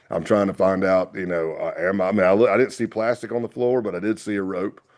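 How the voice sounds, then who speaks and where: The speaker talks at a very fast pace with a Southern accent and fairly even intonation. The background is quiet. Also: man. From US South. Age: 50s. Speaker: retired FBI agent. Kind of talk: interview storytelling.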